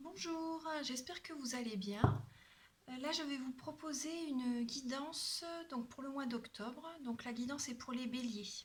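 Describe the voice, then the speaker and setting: Here a woman talks at a fairly slow pace. Her high pitch varies in an ordinary way. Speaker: tarot card reader and energy healer. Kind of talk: tarot reading guidance.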